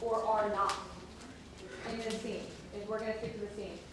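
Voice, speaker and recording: A woman is speaking with noticeable background noise. Audible room echo surrounds her voice. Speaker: theatre workshop facilitator. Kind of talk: live facilitation of audience dialogue. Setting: stage with audience.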